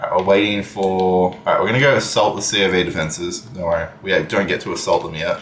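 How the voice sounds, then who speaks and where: A man with a fairly low voice talks at a very fast pace with fairly even intonation over noticeable background noise. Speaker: gaming streamer. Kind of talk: live gameplay stream chat. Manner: casual, hesitant with fillers.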